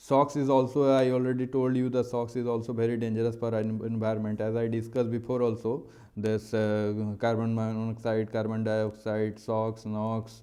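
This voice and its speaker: A dark, mellow tone in an Indian accent, monotone and flat, with hardly any pauses and audible room echo. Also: man, medium pitch for a man. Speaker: maritime engineering teacher. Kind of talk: lecture. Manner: fast; hesitant, many fillers.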